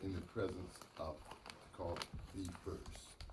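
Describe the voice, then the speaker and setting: A man with a Southern US accent at a very slow pace, with audible room echo. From US South, North Carolina. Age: 70s. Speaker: mayor. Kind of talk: acceptance speech.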